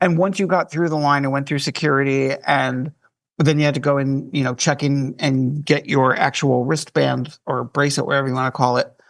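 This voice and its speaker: With an ordinary speaking voice, a man talks at a fairly high pitch and a fairly quick pace, his intonation fairly even. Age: 60s. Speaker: cruise staff writer. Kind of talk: casual chat.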